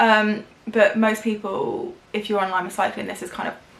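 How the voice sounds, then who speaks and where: Over noticeable background noise, a woman with fairly high pitch speaks with fairly even intonation. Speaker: beauty YouTuber. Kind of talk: casual storytime vlog.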